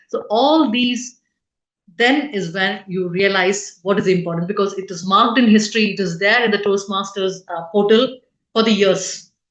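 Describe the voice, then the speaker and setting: A woman's medium-pitched, unremarkable speaking voice at a moderate pace, with ordinary pitch variation. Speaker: club officer trainer. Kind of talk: training session. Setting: online meeting.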